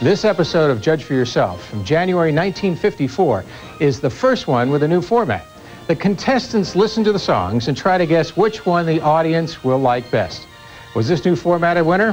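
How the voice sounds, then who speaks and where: The man's pitch is fairly high, with very wide swings. He keeps a moderate pace while music plays in the background. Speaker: TV host. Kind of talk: TV show introduction.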